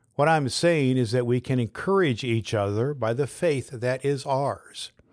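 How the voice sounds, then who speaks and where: In a normal speaking voice, a man of medium pitch talks fairly slowly with ordinary pitch variation, on a very clean recording with a silent background. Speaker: pastor and podcast host. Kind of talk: fervent prayer, spoken aloud as a devotional. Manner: warm, earnest.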